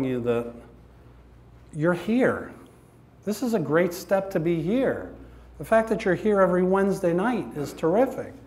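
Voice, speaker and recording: Amid audible room echo, a man with a high pitch and lively intonation speaks at a moderate pace with long, frequent pauses. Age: 60s. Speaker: recovery speaker. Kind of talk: testimony. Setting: church with audience. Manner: animated.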